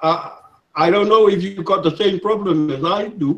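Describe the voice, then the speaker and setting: A man with a Samoan accent, speaking at a fairly slow pace. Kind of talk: casual group discussion. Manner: halting, repeats words.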